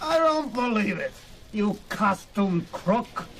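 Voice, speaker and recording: A man puts on a gruff, high-pitched character voice with lively intonation at a fairly slow pace. Background noise is clearly heard. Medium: audio drama. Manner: gruff, barking.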